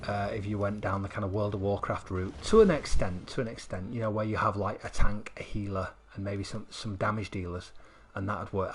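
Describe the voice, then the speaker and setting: This man has a Mancunian accent and a fairly low pitch. He talks at a fairly quick pace, sounding somewhat breathy. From northern England, Manchester. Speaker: gaming streamer. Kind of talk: live stream commentary. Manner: halting, repetitive.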